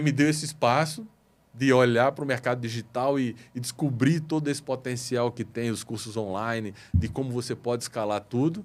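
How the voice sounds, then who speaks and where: A plain, everyday voice from a man at medium pitch, moderate pace and ordinary pitch variation. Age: 60s. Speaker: business consultant in motorcycle parts retail. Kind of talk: podcast interview.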